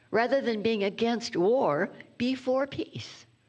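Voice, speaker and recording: At a very slow pace, a woman speaks with a high pitch and very wide pitch swings. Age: 90s. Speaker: reverend, guest speaker. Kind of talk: sermon.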